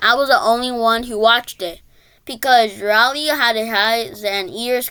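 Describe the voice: The text is read aloud plainly. Its intonation is fairly even.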